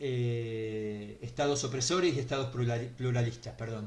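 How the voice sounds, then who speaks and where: A man talks in a somewhat breathy voice. Audible room echo surrounds him. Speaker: teacher giving a talk. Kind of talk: online lecture. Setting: online video talk. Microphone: too quiet for some listeners.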